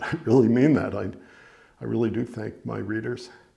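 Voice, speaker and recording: A man with an American accent talks at a moderate pace and medium pitch. His intonation is fairly even, and vocal fry comes through. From New York (Larchmont, Westchester). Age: 70s. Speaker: novelist. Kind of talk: reading aloud; casual talk. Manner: halting.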